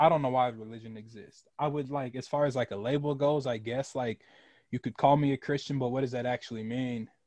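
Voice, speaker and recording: A man speaks in a plain, everyday voice at medium pitch. Intonation stays fairly even and the pace is fairly quick. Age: 20s. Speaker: podcast host. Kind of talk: casual chat.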